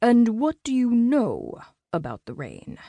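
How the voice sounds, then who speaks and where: In a put-on character voice, a woman speaks at a fairly high pitch, the sound dry and close with no echo. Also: fairly slow pace. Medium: read story. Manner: calm, guarded.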